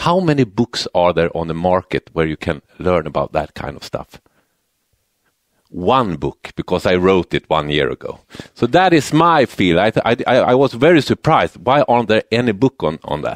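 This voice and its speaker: With a Swedish accent, a man speaks at a fairly low pitch that swings very widely. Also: moderate pace, dry, close sound with no echo. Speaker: university lecturer in building and real estate economics. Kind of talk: conference presentation. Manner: halting, many repetitions and fillers.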